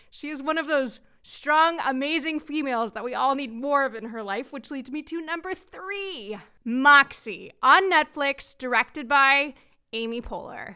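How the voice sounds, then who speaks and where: A woman with a high pitch speaks in a raised, projected voice with a bright, sharp tone. She goes at a fairly slow pace, with ordinary pitch variation and big swings in loudness. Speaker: podcast host. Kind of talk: casual interview chat. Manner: warm, enthusiastic.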